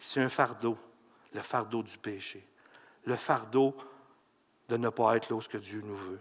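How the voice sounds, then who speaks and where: A man's medium-pitched voice, bright and sharp in tone, with ordinary pitch variation at a fairly slow pace. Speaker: pastor. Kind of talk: sermon. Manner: animated.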